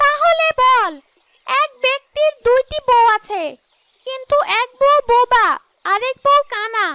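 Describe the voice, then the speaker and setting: A female-sounding voice, extremely high in pitch, performs a cartoonish character voice with cackling. The pace is fairly slow. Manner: cackling, taunting.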